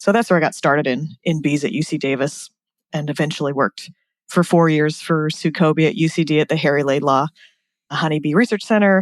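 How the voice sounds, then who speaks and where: Talking at a fairly quick pace with an American accent, a woman has a very deep, low pitch and ordinary pitch variation, recorded dry and close with no echo against a quiet background. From US, California. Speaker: bee scientist. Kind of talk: podcast interview.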